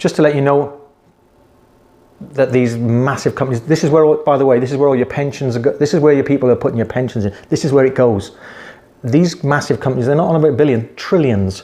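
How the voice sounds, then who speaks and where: The speaker talks at a very fast pace in a British accent, with ordinary pitch variation. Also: man. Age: 60s. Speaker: investing vlogger. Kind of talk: casual investing advice talk. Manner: conversational, repetitive.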